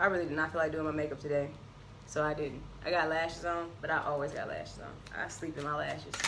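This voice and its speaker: A woman speaks very fast in a very deep, low voice with monotone, flat intonation. The room echo is audible and the background noise is noticeable. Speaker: tarot reader. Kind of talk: tarot reading monologue. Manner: casual, chatty.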